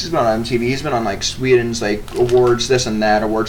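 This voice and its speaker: A man speaks very fast in a strong American accent, with an animated tone, medium pitch and ordinary pitch variation. Noticeable background noise and audible room echo are present. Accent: heavy American, hick-sounding. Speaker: podcast co-host. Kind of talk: casual chat.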